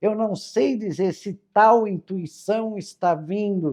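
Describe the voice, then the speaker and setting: Very slowly, a woman speaks in a dark, mellow tone with ordinary pitch variation. The sound is dry and close with no echo, against a quiet background. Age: 60s. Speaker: spiritual teacher. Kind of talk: casual spiritual talk. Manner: informal, chatty.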